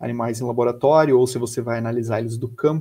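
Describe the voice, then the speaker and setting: A man with a medium pitch and ordinary pitch variation talks very quickly. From Brazil, Florianópolis (Santa Catarina). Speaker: biologist and researcher. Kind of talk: educational talk. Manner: hesitant, with repeated words.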